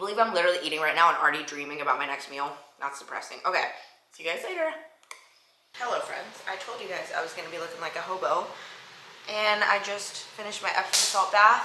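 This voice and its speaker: At a very fast pace, a woman speaks at a medium pitch with lively intonation, an animated tone, and big swings in loudness. Noticeable background noise and audible room echo fill the recording. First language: not English. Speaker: fitness vlogger and bodybuilder. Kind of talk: casual vlog talk to camera. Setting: at home, kitchen.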